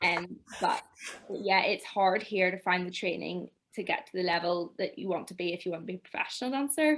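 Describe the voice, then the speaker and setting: A woman with a Northern Irish accent speaks at a fairly quick pace and a medium pitch. Her intonation is lively. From Northern Ireland, near Belfast. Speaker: dancer and choreographer. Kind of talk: interview.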